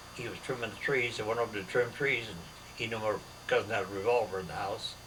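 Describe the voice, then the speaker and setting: A man speaks at a fairly quick pace in a medium pitch. Noticeable background noise runs under his voice. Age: 90s. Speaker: elderly man recounting family history. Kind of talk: casual family conversation. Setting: at home with family. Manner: halting, repetitive.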